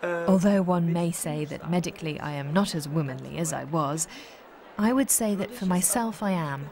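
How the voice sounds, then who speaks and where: A woman speaks at a moderate pace in a fairly low pitch with ordinary pitch variation. Noticeable background noise runs behind her. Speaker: opera singer. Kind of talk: testimony.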